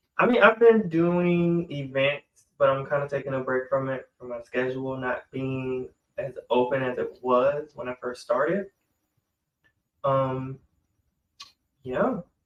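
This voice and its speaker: A man with an American accent talks at a fairly slow pace, his pitch fairly high with ordinary variation. His loudness swings widely, and he leaves long, frequent pauses. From Georgia, US South. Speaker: podcast co-host. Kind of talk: casual chat.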